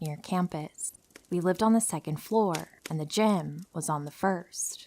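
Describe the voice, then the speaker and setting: A plain, everyday voice from a woman, fairly low pitched with ordinary pitch variation, at a moderate pace, on a very clean recording with a silent background. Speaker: horror story narrator. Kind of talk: true horror story narration.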